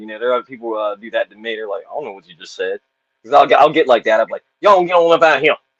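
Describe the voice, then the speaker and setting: Very fast speech in a Southern US accent, with big swings in loudness and a dry, close sound with no echo. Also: man. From Southern US, rural.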